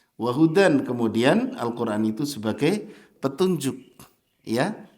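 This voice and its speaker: A man with a fairly high pitch talks at a fairly slow pace with lively intonation. Audible room echo surrounds his voice. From Java, Indonesia. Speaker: Islamic preacher. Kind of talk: sermon. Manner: animated.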